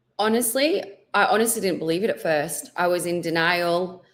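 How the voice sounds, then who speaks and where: Audible room echo surrounds a woman with a fairly low pitch. She speaks at a moderate pace with ordinary pitch variation. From England. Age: 40s. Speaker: cancer survivor. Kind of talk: interview testimony.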